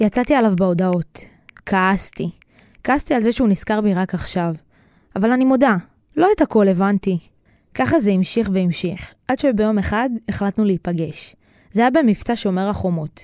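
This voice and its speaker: A woman of medium pitch speaks at a moderate pace with lively intonation, very even loudness and long, frequent pauses, in a dry, close sound with no echo on a very clean recording with a silent background. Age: 20s. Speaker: podcast creator and narrator. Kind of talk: personal storytelling narration.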